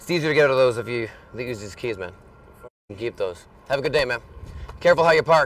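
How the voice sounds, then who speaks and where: A man talks at a very fast pace with lively intonation and big swings in loudness, and the sound is dry with no echo. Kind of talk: casual street banter. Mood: playful, friendly, laughing. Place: street.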